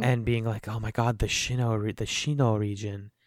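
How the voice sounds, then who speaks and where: Recorded very cleanly over a silent background, a man speaks at a medium pitch. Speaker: podcast host. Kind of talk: casual banter.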